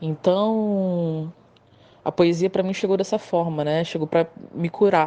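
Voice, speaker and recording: A fairly slow pace with fairly even intonation. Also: woman. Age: 30s. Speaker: poet and motorcycle courier. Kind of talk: interview.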